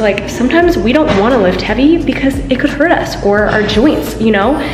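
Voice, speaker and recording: A woman talks at a fairly quick pace over clear music in the background. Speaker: fitness vlogger. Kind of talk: casual vlog chat. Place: gym. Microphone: phone near.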